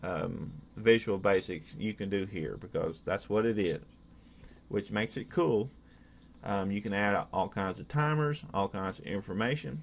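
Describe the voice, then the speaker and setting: A man with an Oklahoma accent, fairly slow and lively in intonation, over a quiet background. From Oklahoma, USA. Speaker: hobbyist programmer. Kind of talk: casual screen-recorded software demo. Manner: hesitant, many fillers.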